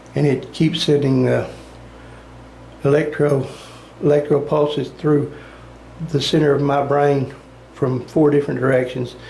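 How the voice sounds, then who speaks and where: A fairly high-pitched man's voice at a moderate pace, monotone and flat, with audible room echo and noticeable background noise. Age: 60s. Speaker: brain cancer patient. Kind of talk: personal testimony.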